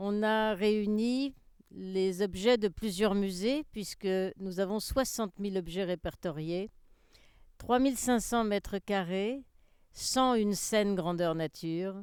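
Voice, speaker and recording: A woman speaks at a medium pitch with ordinary pitch variation. Her pace is very slow, and the recording is very clean with a silent background. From France, Seine-et-Marne. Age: 70s. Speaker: museum founder. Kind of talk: personal account.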